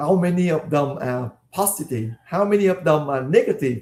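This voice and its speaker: A man's voice, dark and mellow in tone, with a Vietnamese accent. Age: 50s. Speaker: life coach, former dentist. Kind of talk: online coaching session.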